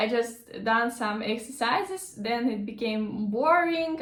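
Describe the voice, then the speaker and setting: A woman with a fairly high pitch speaks at a fairly slow pace with lively intonation. Audible room echo and noticeable background noise surround her voice. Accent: Russian. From Russia. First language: Russian. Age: 20s. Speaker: language teacher. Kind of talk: casual vlog talk. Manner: halting, many fillers.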